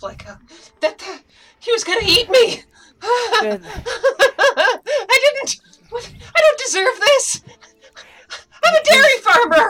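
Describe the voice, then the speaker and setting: In a shaky, put-on character voice of extremely high pitch, the speaker goes at a very slow pace with long, frequent pauses. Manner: shaken, shaky.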